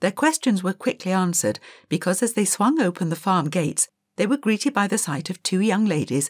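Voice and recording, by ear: The background stays quiet while someone is reading aloud in a natural voice.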